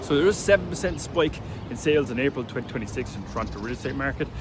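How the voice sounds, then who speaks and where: A man with an Irish accent talks at a very fast pace in a fairly high voice with ordinary pitch variation. Noticeable background noise is present. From Ireland. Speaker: real estate agent. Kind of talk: casual market update vlog. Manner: casual.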